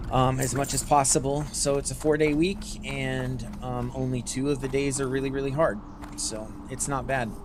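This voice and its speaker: Noticeable background noise and audible room echo surround the speaker. The tone is relaxed, with an American accent. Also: man. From Northern California (Humboldt County). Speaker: gaming streamer, nurse. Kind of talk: casual livestream chat while gaming. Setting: livestream. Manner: relaxed, with many fillers; not loud.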